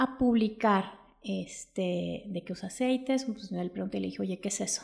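An unremarkable speaking voice moves at a moderate pace with ordinary pitch variation on a very clean recording with a silent background. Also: woman. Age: 40s. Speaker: essential oils seller. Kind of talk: casual chat. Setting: in person.

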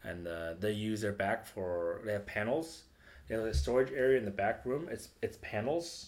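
With an American accent, a man with a plain, everyday voice speaks at a moderate pace, his fairly low pitch carried by lively intonation. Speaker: comedian. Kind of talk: casual chat.

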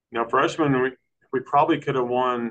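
A man talks at a very fast pace. He has a Texan accent. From Texas, Brownwood. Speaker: high school boys track coach. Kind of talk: casual chat.

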